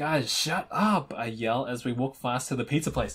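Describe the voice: Someone reads aloud plainly, and the pitch varies in an ordinary way.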